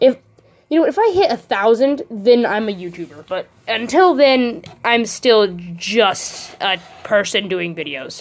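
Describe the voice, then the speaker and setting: Over noticeable background noise, a woman speaks at a fairly slow pace. Her fairly high pitch makes very wide swings. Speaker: small YouTuber, toy reviewer. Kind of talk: casual toy review video. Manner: halting, with many fillers.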